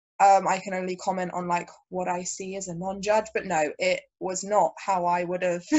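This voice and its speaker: With a southern English accent, a woman speaks at a moderate pace and medium pitch, her intonation monotone and flat, with hardly any pauses. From southern England, Brighton. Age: 20s. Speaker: jiu-jitsu athlete and commentator. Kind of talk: casual chat.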